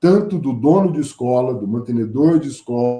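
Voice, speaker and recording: Speaking with a São Paulo interior accent, a man at a medium pitch uses lively intonation at a moderate pace, his tone dark and mellow. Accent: caipira São Paulo interior. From interior of São Paulo state, Brazil. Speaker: teacher and school director, invited speaker. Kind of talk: lecture. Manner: conversational, with hesitations.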